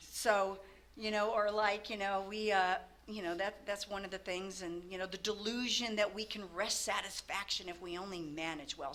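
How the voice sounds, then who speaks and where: This woman's voice sits at a medium pitch, and noticeable noise can be heard in the background. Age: 60s. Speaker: recovering alcoholic speaker. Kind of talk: testimony. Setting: meeting with audience. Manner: halting, many fillers; casual, animated.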